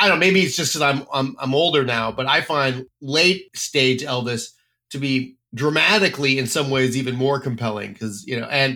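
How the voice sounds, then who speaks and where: In a very clean recording with a silent background, a man with an American accent speaks at a moderate pace. His medium-pitched voice has a bright, sharp tone and ordinary pitch variation. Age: 50s. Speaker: podcast host and editor. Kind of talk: casual chat.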